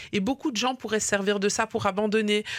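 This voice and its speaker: A woman talks at a medium pitch. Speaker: radio host. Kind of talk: radio interview.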